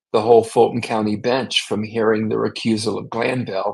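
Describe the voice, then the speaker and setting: A man's medium-pitched voice with an American accent, at a moderate pace. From US South, Jacksonville, Florida. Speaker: defense lawyer. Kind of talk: interview.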